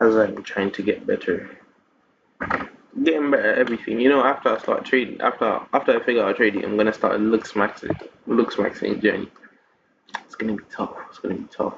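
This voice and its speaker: A man speaks with big swings in loudness. He leaves long, frequent pauses. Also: fairly quick pace. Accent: London. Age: young. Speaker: vlogger. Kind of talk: casual video journal monologue. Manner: halting, repetitive.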